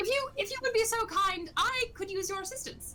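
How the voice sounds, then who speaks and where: A woman does a squeaky, put-on character voice at a fairly quick pace, with clear background noise behind her. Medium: actual play. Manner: hesitant, halting, wordy.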